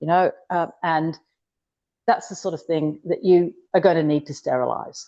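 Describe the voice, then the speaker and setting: A woman with a Yorkshire accent speaks at a moderate pace in a fairly low pitch for a woman. Her tone is dark and mellow, with a quiet background. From northern England, Yorkshire. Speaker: cooking appliance consultant. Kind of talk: online workshop demo. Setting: video call.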